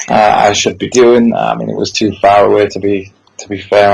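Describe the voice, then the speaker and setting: A man's fairly low, monotone, flat voice with a Yorkshire accent. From Yorkshire, northern England. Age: 30s. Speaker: wrestling promoter. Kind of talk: podcast interview.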